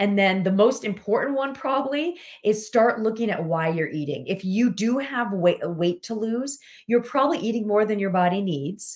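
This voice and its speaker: Her voice is an ordinary speaking voice, fairly high in pitch. The woman keeps a moderate pace. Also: lively intonation. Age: 40s. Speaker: weight loss coach. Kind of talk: casual chat.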